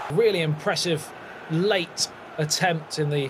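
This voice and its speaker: This man's voice is fairly high in pitch and animated in tone. Noticeable background noise runs behind him. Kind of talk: football commentary. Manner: animated, excitable play-by-play.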